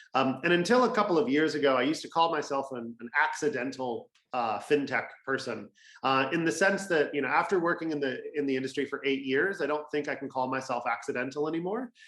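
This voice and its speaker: A man with an American accent, fairly high pitch, ordinary pitch variation, and a very fast pace. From California, US. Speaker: fintech industry representative. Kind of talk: webinar presentation.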